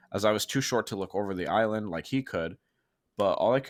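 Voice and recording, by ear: With the background quiet, the text is read aloud in a natural voice, its pitch varying in an ordinary way.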